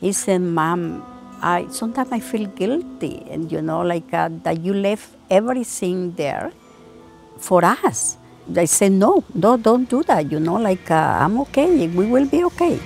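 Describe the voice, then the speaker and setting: A woman with a Salvadoran accent, fairly slow pace, and lively intonation, with music in the background. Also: medium pitch for a woman. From El Salvador. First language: Spanish. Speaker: daycare cook, former social worker. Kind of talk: interview answer.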